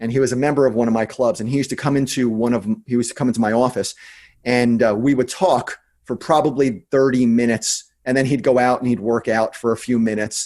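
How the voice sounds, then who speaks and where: Very clean and silent in the background, this recording has a man with an American accent talking at a very fast pace, with medium pitch, fairly even intonation and very even loudness. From New Jersey. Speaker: entrepreneur and investor. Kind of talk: interview.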